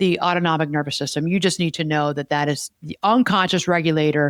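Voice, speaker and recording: A woman with a fairly low pitch talks at a fairly quick pace. The recording is very clean, with a silent background and a dry, close sound with no echo. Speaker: podcast host and therapist. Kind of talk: casual chat. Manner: fast when stressed.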